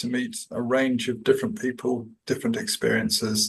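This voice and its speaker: Fairly quick, somewhat breathy speech in a New Zealand accent, with lively intonation. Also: man. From New Zealand, Auckland. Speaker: executive coach. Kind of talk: podcast interview. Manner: hesitant, many fillers.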